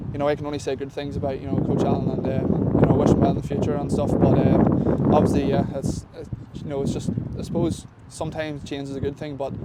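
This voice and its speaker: A man with an Irish accent and a fairly high voice speaks very fast in a flat monotone, with noticeable background noise and audible room echo. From Ireland. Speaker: professional football kicker. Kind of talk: sports interview. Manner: halting, many fillers.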